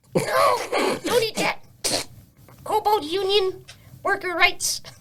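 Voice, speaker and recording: A put-on character voice pitched extremely high, delivered at a fairly slow pace. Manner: squeaky, protesting.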